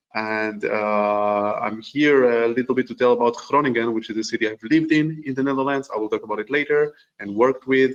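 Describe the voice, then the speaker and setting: In an Israeli accent, a man talks at a moderate pace with fairly even intonation. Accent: Hebrew. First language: Hebrew. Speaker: urban planner. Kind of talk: panel introduction. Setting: video call webinar.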